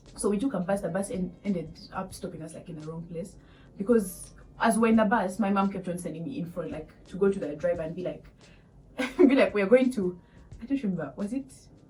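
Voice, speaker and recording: The speech moves at a fairly quick pace. Pitch variation is ordinary, while loudness swings widely. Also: woman, medium pitch for a woman. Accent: Ugandan. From Uganda. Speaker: vlogger, international student. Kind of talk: casual storytelling vlog. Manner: animated.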